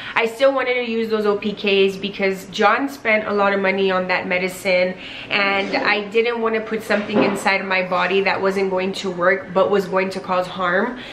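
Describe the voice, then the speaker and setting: Over noticeable background noise, a woman speaks at a medium pitch in a monotone, flat way with hardly any pauses. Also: moderate pace. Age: 20s. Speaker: lifestyle vlogger. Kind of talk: personal story vlog. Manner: casual with frequent fillers. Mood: personal, candid storytelling. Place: home room.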